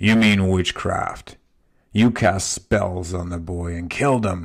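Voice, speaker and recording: In a loud, booming put-on character voice, a man speaks at a very deep, low pitch and fairly slow pace with ordinary pitch variation, captured in a very clean recording with a silent background. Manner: accusing, angry.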